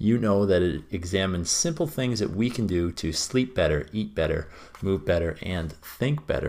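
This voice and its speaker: With a plain, everyday voice, a man speaks at a moderate pace and a fairly low pitch, his intonation lively, in a very clean recording with a silent background. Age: 20s. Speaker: podcast host. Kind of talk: solo podcast monologue.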